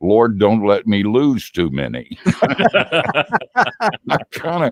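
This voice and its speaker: Dry, close sound with no echo on a man's voice. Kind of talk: casual interview. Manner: halting.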